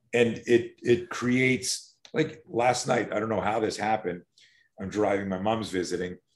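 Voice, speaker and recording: At a moderate pace, a normal speaking voice talks with ordinary pitch variation. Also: man. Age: 60s. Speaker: self-defense instructor. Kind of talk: interview.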